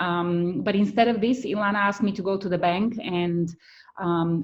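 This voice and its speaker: Spoken in a Bulgarian accent, the words come at a moderate pace. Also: woman. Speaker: writer and content creator. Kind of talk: testimonial interview. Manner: hesitant with frequent fillers.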